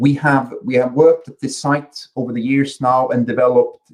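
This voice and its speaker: This man has a medium-pitched voice and a slight Swedish accent. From Sweden. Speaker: company chief executive. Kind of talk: conference presentation. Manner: halting, many repetitions and fillers.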